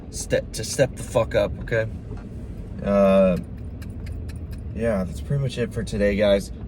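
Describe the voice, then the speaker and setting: Mumbled speech comes at a fairly slow pace, broken by long, frequent pauses, with very wide pitch swings. Noticeable background noise runs underneath. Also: man, fairly low pitch for a man. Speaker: vlogger and athlete. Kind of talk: casual vlog talk. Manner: mumbling.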